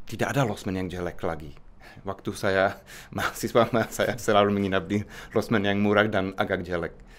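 A man speaks with a Czech accent at a fairly quick pace. His pitch is fairly low, and his intonation stays fairly even. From Czech Republic. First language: Czech (speaking Indonesian). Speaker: researcher and university lecturer; university lecturer. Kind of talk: interview. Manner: halting. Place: office. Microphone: studio mic.

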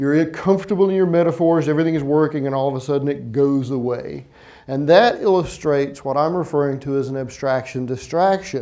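Here a man talks at a fairly quick pace. His tone is dark and mellow, and the background is quiet. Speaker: keynote speaker. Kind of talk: conference keynote. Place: stage. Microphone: lapel.

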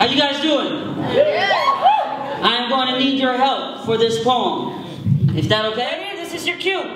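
Amid noticeable background noise and audible room echo, a man at an extremely high pitch uses a raised, projected voice with lively intonation, a fairly slow pace and long, frequent pauses. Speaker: spoken word poet. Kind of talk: casual talk to audience. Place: stage.

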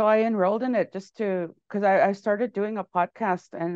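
The speaker moves at a moderate pace with fairly even intonation. The sound is dry with no echo over a quiet background. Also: woman. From Canada, Cree First Nation in Manitoba. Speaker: musician and filmmaker; interview guest. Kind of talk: interview. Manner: halting, many fillers and repetitions. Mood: warm, friendly. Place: home room. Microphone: earbuds.

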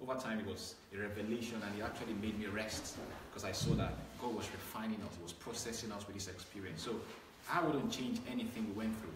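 A man talks at a very fast pace with ordinary pitch variation. Audible room echo and noticeable background noise surround his voice. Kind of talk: interview answer. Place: office. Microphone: camera far.

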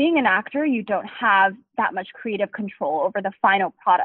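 An ordinary speaking voice with an American accent comes at a moderate pace. The intonation is lively. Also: woman. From Taiwan and the US. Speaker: startup founder and CEO. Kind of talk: interview.

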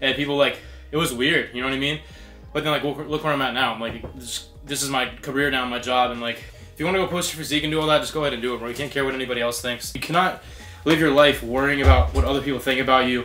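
The speech moves at a very fast pace with fairly even intonation. Faint music plays in the background. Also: man. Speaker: fitness vlogger. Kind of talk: casual vlog chat. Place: gym. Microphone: camera far.

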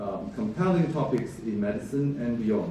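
A man talks at a moderate pace in a room with audible echo. Noticeable background noise runs throughout. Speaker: event host introducing the lecture. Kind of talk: formal speech introduction. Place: hall.

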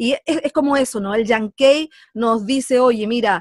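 In a Chilean accent, a woman talks at a fairly slow pace with a fairly high pitch and ordinary pitch variation. The sound is dry and close, with no echo.

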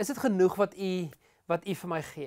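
A high-pitched man's voice against a quiet background. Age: 30s. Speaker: pastor. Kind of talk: sermon. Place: studio. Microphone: lapel.

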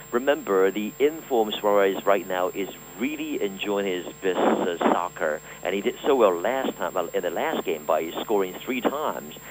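Fairly low male voice with lively intonation at a moderate pace, noticeable background noise behind it. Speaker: sports correspondent. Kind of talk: interview. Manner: halting.

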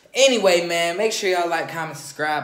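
A man speaks very fast with ordinary pitch variation, and room echo is audible. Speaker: vlogger. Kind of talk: casual vlog chat. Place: home room. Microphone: phone near.

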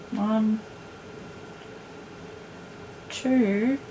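A woman with a dark, mellow tone speaks at a very slow pace and fairly even intonation over faint background noise. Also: fairly high pitch for a woman.

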